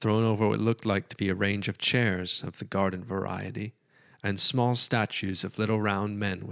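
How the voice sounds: The delivery is a natural reading voice. Fairly even intonation runs through it.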